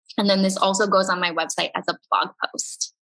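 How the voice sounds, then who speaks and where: A woman's voice sits at a medium pitch as she talks at a moderate pace. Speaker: podcast host and business coach. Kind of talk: workshop presentation. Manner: animated.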